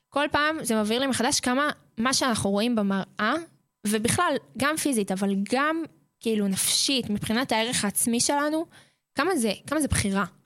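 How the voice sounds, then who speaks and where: At a moderate pace, a woman speaks in a high pitch with lively intonation and very even loudness. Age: 20s. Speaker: boarding school counselor. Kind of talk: radio interview. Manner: hesitant, many fillers.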